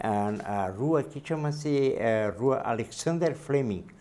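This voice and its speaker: A man speaks at a fairly slow pace in a dark, mellow tone. His intonation is lively. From Blumenau, Santa Catarina, southern Brazil. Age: 70s. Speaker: interviewee, longtime local resident. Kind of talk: TV interview.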